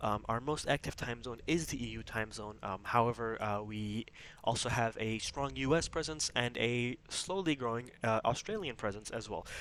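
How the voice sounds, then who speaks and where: A soft-spoken man talks at a moderate pace with hardly any pauses. His pitch is medium with ordinary variation. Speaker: gaming YouTuber and corporation leader. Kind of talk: casual promotional explainer. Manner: quiet, talking softly late at night; many fillers like um and uh.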